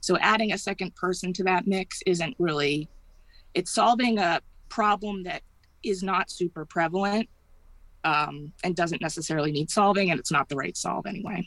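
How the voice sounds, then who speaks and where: A woman with an American accent and a normal speaking voice talks at a moderate pace, her medium pitch showing ordinary pitch variation. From Massachusetts. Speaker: cannabis delivery business partner. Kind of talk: interview.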